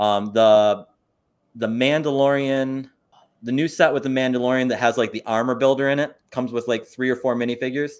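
In a plain, everyday voice with an American accent, the speaker moves at a fairly quick pace with fairly even intonation. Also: man, medium pitch for a man. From US Northeast, upstate New York. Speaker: toy store owner and teacher. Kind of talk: casual interview. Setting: live stream.

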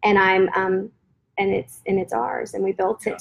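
A woman with an American accent speaks in a normal speaking voice at a medium pitch and a fairly quick pace. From Florida, US South. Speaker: guest sharing faith story. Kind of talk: testimony.

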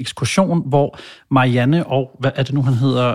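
A man with a fairly high pitch and an ordinary speaking voice talks at a moderate pace with fairly even intonation. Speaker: podcast host. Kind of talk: casual banter.

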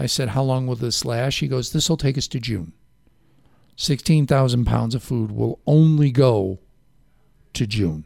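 On a very clean recording with a silent background, a man with a slight Chicago accent speaks fairly slowly at medium pitch, with ordinary pitch variation and long, frequent pauses. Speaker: local radio talk show host. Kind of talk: casual radio interview. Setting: radio studio.

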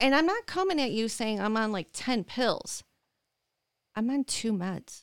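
Very wide pitch swings mark this voice with a Michigan accent, heard in a very clean, dry, close recording with no echo and a silent background. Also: woman. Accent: Midwestern American (Michigan). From Michigan, Dearborn Heights. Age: 40s. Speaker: chronic pain patient and advocate. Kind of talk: interview.

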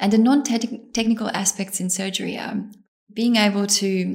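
A woman with a somewhat breathy voice speaks at a medium pitch in monotone, flat intonation. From Bosnia. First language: Bosnian. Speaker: surgical trainee. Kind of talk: interview.

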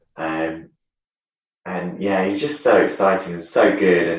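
At a fairly slow pace, a man speaks with a very deep, low pitch amid audible room echo. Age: 30s. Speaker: retired taekwondo champion. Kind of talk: casual interview chat. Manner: halting.

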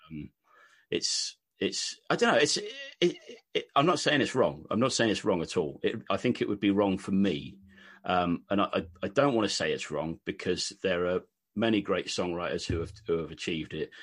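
Against a quiet background, a man with a British accent speaks at a moderate pace. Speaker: country singer-songwriter. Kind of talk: casual interview chat. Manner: hesitant, filler-heavy.

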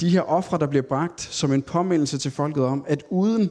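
A man's dark, mellow, fairly high voice with ordinary pitch variation, at a moderate pace over a quiet background. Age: 30s. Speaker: Bible teacher. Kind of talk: Bible study talk. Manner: hesitant, many filler sounds.

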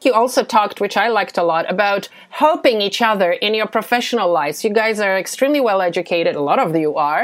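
This woman talks at a fairly quick pace with few pauses, lively intonation and a medium pitch.

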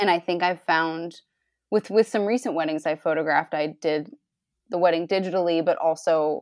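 At a moderate pace and with a fairly even intonation, a normal speaking voice with an American accent comes through on a very clean recording with a silent background, dry and close with no echo. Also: woman. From US Northeast, Rhode Island. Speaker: photographer. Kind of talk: interview.

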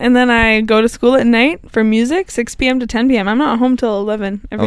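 Fairly quick pace and fairly even intonation. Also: woman, fairly high pitch for a woman. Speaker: podcast guest; music student.

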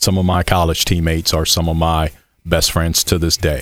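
A man talks at a moderate pace in a very deep, low pitch with monotone, flat intonation, on a very clean recording with a silent background. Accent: American. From Michigan City, Indiana, US Midwest. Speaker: college track and cross country coach. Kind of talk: casual interview.

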